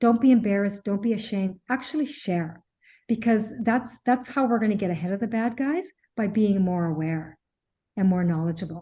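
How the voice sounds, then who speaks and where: Against a quiet background, a woman speaks at a fairly high pitch with ordinary pitch variation. Her voice is somewhat breathy, with a dark, mellow tone. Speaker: accountant and tax advisor, webinar presenter. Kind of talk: webinar presentation Q&A. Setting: online webinar. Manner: fast; halting, many fillers and repeats.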